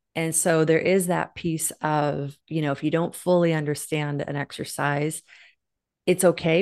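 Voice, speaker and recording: A normal speaking voice comes at a moderate pace. The background is quiet. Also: woman. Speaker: online fitness instructor. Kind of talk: casual interview.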